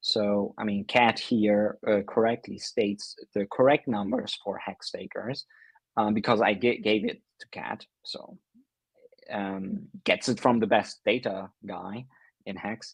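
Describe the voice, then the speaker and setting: A man with a non-native accent speaks at a fairly slow pace with big swings in loudness, in a dry, close recording with no echo. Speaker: livestream host. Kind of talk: casual commentary. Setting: livestream. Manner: halting, many fillers.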